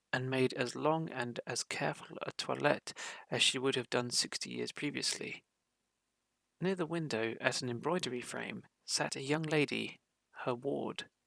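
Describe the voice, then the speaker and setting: With a British accent, a man speaks at a medium pitch and moderate pace in a bright, sharp, calm tone with ordinary pitch variation, the sound dry and close with no echo. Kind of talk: audiobook reading of a classic short story. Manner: calm, relaxing.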